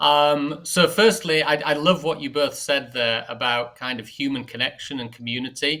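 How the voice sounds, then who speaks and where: A man with a northern English accent, fairly high in pitch, with a bright, sharp tone and a moderate pace. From northern England. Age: 40s. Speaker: marketing executive. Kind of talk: podcast interview.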